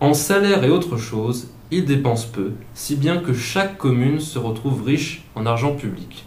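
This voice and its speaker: Through noticeable background noise, a man speaks at a fairly slow pace with lively intonation. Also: medium pitch for a man. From Alsace, south of Mulhouse. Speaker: student economics columnist. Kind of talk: scripted radio column. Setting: studio.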